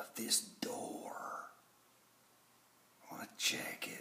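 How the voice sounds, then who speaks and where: A man whispering at a very slow pace. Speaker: vlogger acting out a story. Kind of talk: hushed playful roleplay vlog. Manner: hushed, secretive low voice. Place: home room. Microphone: phone near.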